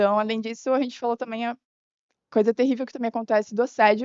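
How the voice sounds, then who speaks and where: Her intonation stays fairly even. The woman's pitch is fairly high. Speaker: chess player at women's chess meeting. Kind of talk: group discussion summary at event. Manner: fast.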